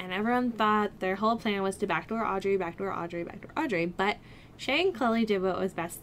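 At a fairly quick pace, a woman talks with ordinary pitch variation. Light background noise can be heard. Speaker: vlogger. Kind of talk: casual vlog chat. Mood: chatty, laughs often. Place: home room. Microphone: webcam.

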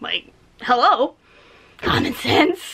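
A woman puts on a character voice pitched high.

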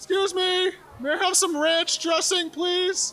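At a fairly slow pace, a cartoonish character voice speaks at an extremely high pitch. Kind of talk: comedy sketch dialogue. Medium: puppet.

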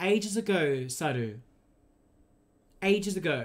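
This speaker is male. His accent is Australian. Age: 20s. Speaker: video game streamer. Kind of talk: casual live-stream chat while gaming. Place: home room.

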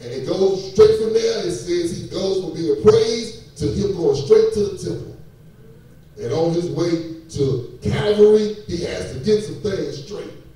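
A man's fairly slow, lively-intoned speech in strong room echo. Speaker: preacher. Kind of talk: sermon. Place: church. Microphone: pa.

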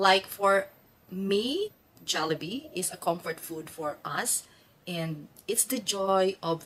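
The speaker is a woman. She talks with a Filipino accent. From Philippines. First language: Filipino (Tagalog). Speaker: nurse and vlogger; vlogger. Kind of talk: vlog narration. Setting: restaurant. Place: home room. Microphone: phone near.

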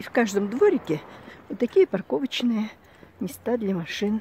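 The sound is dry and close, with no echo. A woman talks at a fairly high pitch. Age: 60s. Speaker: retiree video blogger. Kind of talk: casual home tour talk to camera.

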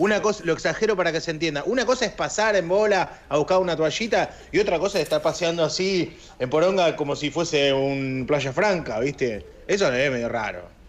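A man's high voice in a Rioplatense accent, with lively intonation, a fairly quick pace and hardly any pauses. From Argentina. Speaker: radio host. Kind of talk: casual chat. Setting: studio. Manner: animated. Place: home room. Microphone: video call.

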